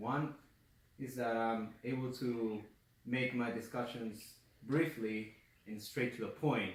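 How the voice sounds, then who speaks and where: In a non-native accent, a man of medium pitch speaks very slowly with fairly even intonation and long, frequent pauses, with audible room echo. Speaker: college student giving class speech. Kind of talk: class speech. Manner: halting, self-correcting; speeds up when nervous.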